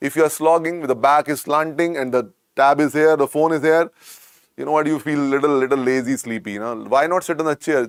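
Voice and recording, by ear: At a fairly quick pace, a man speaks with a clear, smooth tone, a fairly high pitch and ordinary pitch variation.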